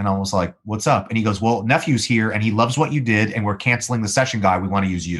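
Speaking very fast with hardly any pauses, this voice has an American accent and ordinary pitch variation on a very clean recording with a silent background. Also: man, fairly low pitch for a man. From Los Angeles, US. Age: 30s. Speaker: musician and voice actor. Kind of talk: casual interview chat.

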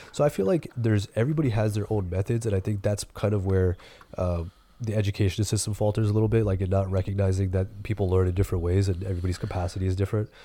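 A man's fairly low, somewhat breathy voice with a dark, mellow tone, an American accent, fairly even intonation, very even loudness and a very fast pace. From US East Coast. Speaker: podcast co-host. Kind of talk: casual chat.

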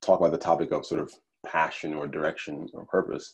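A man talks with a Nigerian accent. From Kaduna, northern Nigeria; raised in Delaware from age 7. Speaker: podcast guest.

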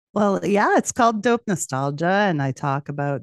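A woman in a Canadian accent uses ordinary pitch variation, heard over a quiet background in a dry, close sound with no echo. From Western Canada. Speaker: podcast host, guest. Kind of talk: casual chat. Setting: video call.

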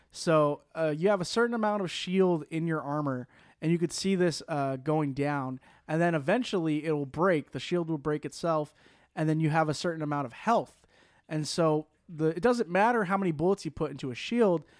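Using a normal speaking voice, a man speaks at a moderate pace with a fairly high pitch and ordinary pitch variation. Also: very clean recording, silent background. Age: 20s. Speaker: podcast host. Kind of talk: casual chat.

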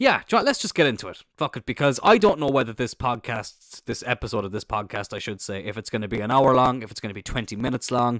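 A man speaks quickly-ish in an Irish accent with ordinary pitch variation. The sound is dry and close, with no echo. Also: big swings in loudness, very clean recording, silent background. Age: 20s. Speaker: podcast host. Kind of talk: casual chat, solo podcast monologue. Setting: home recording with a faulty, choppy microphone. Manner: casual, chatty, swears a lot.

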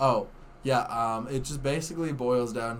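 This man has an ordinary speaking voice at a medium pitch. He talks at a moderate pace with ordinary pitch variation. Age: 20s. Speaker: podcast guest. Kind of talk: casual chat.

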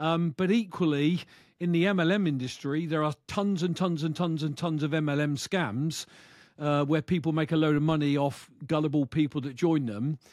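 A man with a British accent talks at a moderate pace. His pitch is fairly high, and it varies in an ordinary way. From UK. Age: 60s. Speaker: bitcoin YouTuber, retired truck driver. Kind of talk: interview. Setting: video call.

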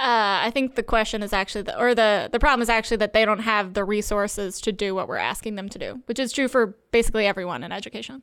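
A woman with an American accent, fairly high in pitch, at a very fast pace with hardly any pauses, fairly even intonation and big swings in loudness, on a very clean recording with a silent background. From North Carolina, Triangle area. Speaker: comedian, baker and tutor. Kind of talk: casual chat.

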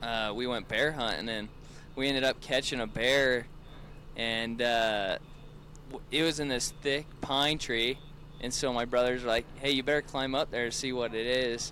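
A man's medium-pitched voice with fairly even intonation and long, frequent pauses. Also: moderate pace. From central Utah, US. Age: 20s. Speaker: hunter with hounds. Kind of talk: casual chat.

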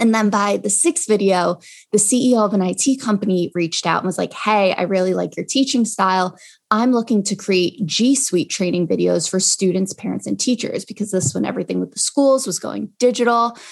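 Someone with an American accent speaks at a fairly quick pace with ordinary pitch variation against a quiet background. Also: woman, medium pitch for a woman. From New York, Long Island. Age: 20s. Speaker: Excel educator and entrepreneur. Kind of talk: interview.

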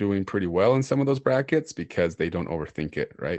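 In an unremarkable speaking voice with an American accent, a man speaks at a fairly quick pace with ordinary pitch variation. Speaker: podcast host. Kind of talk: casual chat.

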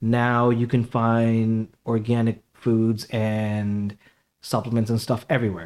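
A man with a New York accent speaks at a very slow pace and a medium pitch, with ordinary pitch variation, on a very clean recording with a silent background. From Queens, New York. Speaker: health food store owner. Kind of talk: casual interview.

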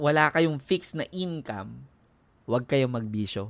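Over a very clean recording with a silent background, a man speaks at medium pitch with lively intonation. His tone is animated and his pace fairly slow. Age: 40s. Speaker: podcaster. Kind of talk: casual chat.

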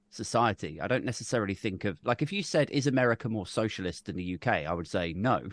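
A man's fairly low-pitched voice with a British accent and lively intonation, dry and close with no echo. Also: quiet background. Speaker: podcaster and political YouTuber. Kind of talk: casual chat.

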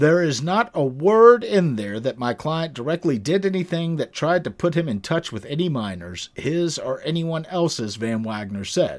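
A man talks loudly at a moderate pace with hardly any pauses. His fairly high pitch makes very wide swings. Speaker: legal podcast host, attorney. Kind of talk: solo legal commentary podcast. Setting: live stream recording. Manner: loud, ranting.

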